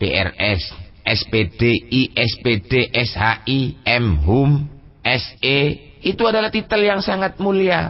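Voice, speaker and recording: The speaker talks at a very slow pace with very wide pitch swings. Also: man. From Pasuruan, East Java, Indonesia. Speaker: Islamic cleric and pesantren leader giving a public lecture. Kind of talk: Islamic sermon on Sufi text (Al-Hikam).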